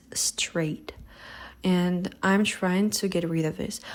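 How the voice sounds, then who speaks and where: A woman with a non-native accent and fairly even intonation. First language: not English. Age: 20s. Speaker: vlogger. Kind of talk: personal testimony.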